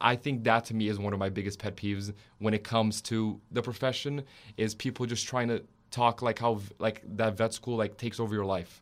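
Fairly quick speech in a Portuguese accent. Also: man. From Brazil (São Paulo), raised in Orlando, Florida from age ten. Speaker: veterinary student. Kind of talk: casual interview. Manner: stutters when uncomfortable.

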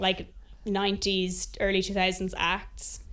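A woman of medium pitch talks with an Irish accent. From Ireland. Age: 20s. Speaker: singer-songwriter. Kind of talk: interview.

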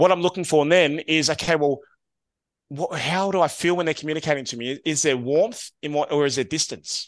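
A man speaks with an Australian accent at a fairly high pitch and a fairly quick pace. His intonation is lively, and the background is quiet. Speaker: SEO agency co-founder. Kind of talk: casual interview. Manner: upbeat, affirming.

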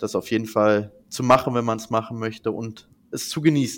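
A man's medium-pitched voice comes through a very clean recording with a silent background. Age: 20s. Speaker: management consultant. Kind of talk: interview. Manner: many fillers.

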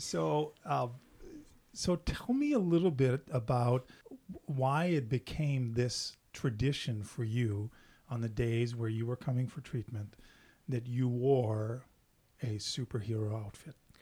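This man's voice is medium in pitch, somewhat breathy, with a dark, mellow tone and ordinary pitch variation. He speaks at a fairly slow pace with long, frequent pauses. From French Canada. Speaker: podcast host. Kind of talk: interview.

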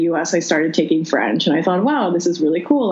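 A woman speaks at a fairly low pitch. Noticeable background noise runs behind her. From Philippines. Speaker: interview guest, recent graduate and exchange student. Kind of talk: casual interview conversation. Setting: phone call with poor connection.

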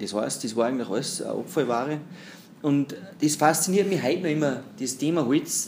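A man speaks at a fairly quick pace in a plain, everyday voice, fairly high in pitch with ordinary pitch variation. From Austria, Pinzgau (Salzburg). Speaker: entrepreneur in the timber business. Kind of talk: interview. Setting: at the guest's company.

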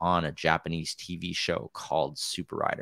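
A man speaks in a very deep, low voice with an American accent. His tone is bright and sharp, and the sound is dry and close with no echo. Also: very clean recording, silent background. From US Midwest, Wisconsin. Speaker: mountain bike trials rider and YouTuber. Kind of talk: casual chat.

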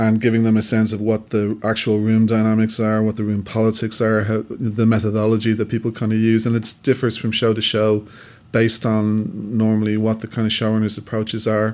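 Fairly quick and monotone, a man with a Dublin accent speaks at a fairly low pitch with flat intonation. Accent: Dublin Irish. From Dublin, Ireland. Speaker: filmmaker. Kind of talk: interview.

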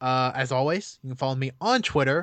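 Here is a man with an ordinary speaking voice, fairly high in pitch, talking at a fairly quick pace with ordinary pitch variation. The background is quiet, and the sound is dry and close with no echo. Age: 20s. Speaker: video game podcast guest. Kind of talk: casual chat.

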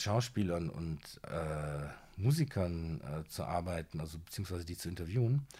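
Lively in intonation, a man talks at a moderate pace on a very clean recording with a silent background. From Siegen, North Rhine-Westphalia, Germany. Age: 40s. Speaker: TV judge and author. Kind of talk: casual interview.

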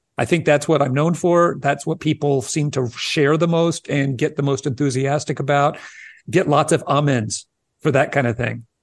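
Fairly high pitch for a man, with ordinary pitch variation and a moderate pace over a quiet background. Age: 60s. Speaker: early childhood educator. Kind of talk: interview.

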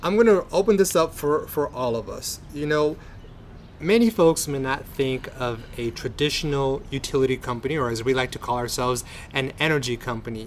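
With an unremarkable speaking voice, a man talks at a moderate pace in a fairly high pitch with lively intonation. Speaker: podcast host. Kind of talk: interview, scripted intro. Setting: outdoors at a park.

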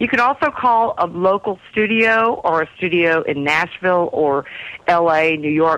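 A woman with a fairly low pitch talks with ordinary pitch variation. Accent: slight Texas. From Texas. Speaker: singer-songwriter. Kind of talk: interview.

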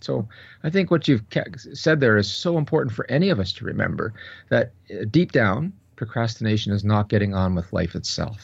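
A man speaks at a fairly quick pace with very wide pitch swings, somewhat breathy. The background is quiet. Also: medium pitch for a man. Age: 60s. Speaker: professor and researcher. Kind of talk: interview.

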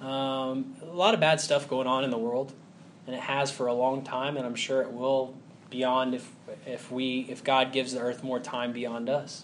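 A man speaks with an American accent at a fairly high pitch. Room echo is audible. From US South, Huntsville, Alabama. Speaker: preacher. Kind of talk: sermon.

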